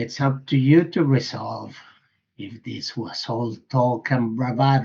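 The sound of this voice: The intonation stays fairly even in an unforced reading voice. Behind it, things are quiet.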